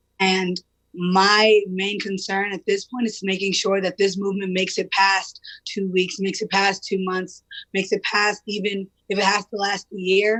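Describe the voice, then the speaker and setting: Loud and monotone, a woman's medium-pitched voice moves at a moderate pace with flat intonation, in a dry, close sound with no echo. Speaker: protest leader. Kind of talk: interview.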